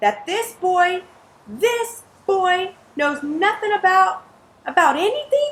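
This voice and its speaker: Putting on a character voice, a woman speaks extremely high and fairly slowly, with long, frequent pauses. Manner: growling, furious.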